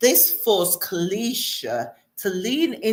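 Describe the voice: Quiet background and plain reading aloud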